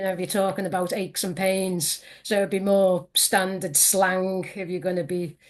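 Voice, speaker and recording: In a Liverpool accent, a woman of medium pitch speaks at a moderate pace with hardly any pauses and a monotone, flat delivery. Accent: Scouse. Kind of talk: interview answer.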